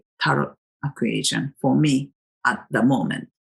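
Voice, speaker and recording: A woman with a Japanese accent, recorded with a dry, close sound and no echo. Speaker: tarot vlogger. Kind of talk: casual monologue. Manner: hesitant, with many fillers.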